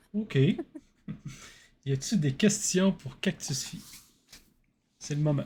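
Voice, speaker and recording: A man's dark, mellow voice with a Quebec accent, fairly high in pitch, at a very slow pace with long, frequent pauses, lively intonation and big swings in loudness. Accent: Québécois French. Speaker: podcast host. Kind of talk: podcast interview.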